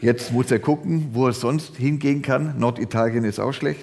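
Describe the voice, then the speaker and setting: Vocal fry runs through a man's speech. He talks at a moderate pace with ordinary pitch variation. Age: old. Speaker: pastor. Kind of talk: sermon.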